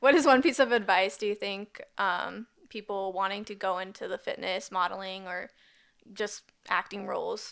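A woman with an ordinary speaking voice talks at a medium pitch with ordinary variation and big swings in loudness. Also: moderate pace. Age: 20s. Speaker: podcast host. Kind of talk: casual interview.

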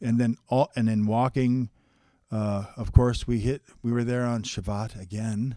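Speaking with a Canadian accent, a man has a medium pitch and a dark, mellow tone. His delivery is fairly slow and monotone, with a dry, close sound and no echo. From interior British Columbia, Canada. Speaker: registered massage therapist. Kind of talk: casual interview.

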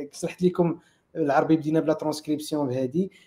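The man's voice sits at a fairly high pitch with a dark, mellow tone. His intonation is monotone and flat. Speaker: head of engineering, tech conference co-founder. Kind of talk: technical discussion.

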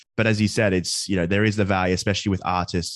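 In an Australian accent, a man speaks with a very deep, low voice and fairly even intonation. The background is quiet. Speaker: finance podcaster and student. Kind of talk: casual interview.

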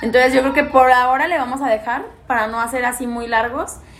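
Noticeable background noise accompanies a woman talking at a fairly high pitch. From Mexico, Guanajuato (Pénjamo). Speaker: podcast co-host. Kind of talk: casual chat.

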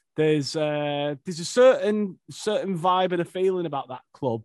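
In an unremarkable speaking voice, a man talks at a fairly slow pace with ordinary pitch variation, the sound dry and close with no echo. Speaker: podcast host. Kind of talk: casual interview chat.

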